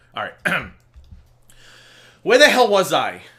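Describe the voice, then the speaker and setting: A man's bright, sharp tone, animated throughout. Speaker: livestreamer. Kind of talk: casual livestream rant. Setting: livestream. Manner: fast.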